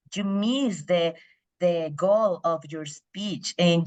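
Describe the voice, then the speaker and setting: Speaking very slowly with a Spanish accent, the voice shows ordinary pitch variation. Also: woman. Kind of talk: impromptu speech.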